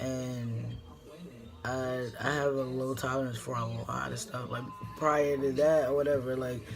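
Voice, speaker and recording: A man's medium-pitched voice at a fairly slow pace, fairly even in intonation, with audible room echo. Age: 20s. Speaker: vlogger. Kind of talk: casual vlog talk. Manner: halting, many fillers.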